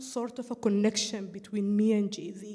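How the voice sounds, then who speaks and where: This woman has a non-native accent. She talks at a moderate speed. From East Africa. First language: not English. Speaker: audience participant. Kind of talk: audience comment in a group call. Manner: halting, with fillers.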